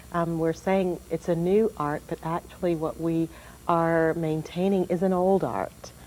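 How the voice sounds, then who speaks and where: A woman with an American accent speaks at a fairly slow pace in a fairly low, dark, mellow voice with fairly even intonation. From Jacksonville, Florida. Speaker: singer. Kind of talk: interview. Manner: hesitant.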